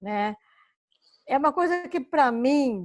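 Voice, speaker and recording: A woman's voice, recorded dry and close with no echo. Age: 60s. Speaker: course participant. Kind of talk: casual chat. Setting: video call.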